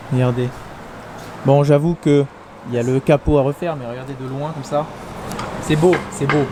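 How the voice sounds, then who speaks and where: A man speaks with long, frequent pauses and big swings in loudness against noticeable background noise. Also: moderate pace. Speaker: car vlogger. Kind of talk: casual vlog. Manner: animated, stammering.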